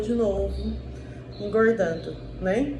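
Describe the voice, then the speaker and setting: Female speech with audible room echo over noticeable background noise. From southeastern Brazil. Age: 30s. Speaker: diet vlogger. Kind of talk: casual vlog monologue. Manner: hesitant, many fillers.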